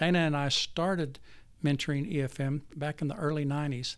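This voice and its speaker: A man with an American accent and fairly high pitch, on a very clean recording with a silent background. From Texas. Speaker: physician and theology school dean. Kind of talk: interview. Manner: halting.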